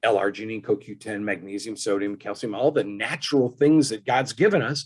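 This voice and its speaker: A man talks at a moderate pace with lively intonation. It is an ordinary speaking voice. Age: 60s. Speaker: engineer and wellness product inventor. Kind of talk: interview.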